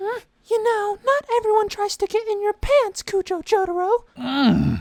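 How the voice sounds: This is a squeaky, cartoonish character voice at an extremely high pitch. It moves at a fairly slow pace.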